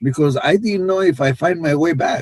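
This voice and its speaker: A man is speaking here. He talks at a moderate pace in an Israeli accent. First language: Hebrew. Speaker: life coach. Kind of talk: podcast interview.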